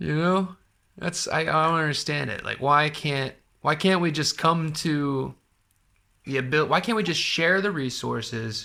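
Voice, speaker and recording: On a very clean recording with a silent background, a man with an American accent speaks at a fairly slow pace in a fairly high pitch with a bright, sharp tone. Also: ordinary pitch variation. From US. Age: 30s. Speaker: podcast host. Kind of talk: casual chat.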